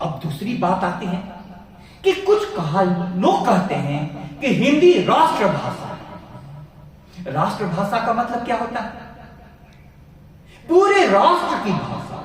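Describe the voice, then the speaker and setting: Amid noticeable background noise and audible room echo, a man with a high pitch speaks with very wide pitch swings and long, frequent pauses. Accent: Bihari. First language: Bhojpuri (speaking Hindi). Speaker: professor. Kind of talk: lecture.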